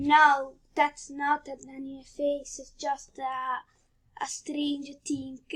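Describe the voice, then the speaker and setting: In an Italian accent, a woman speaks at a very slow pace with a high pitch. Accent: Italian accent, non-native English. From Italy. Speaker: drawing tutorial youtuber. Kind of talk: tutorial. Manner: halting, many fillers.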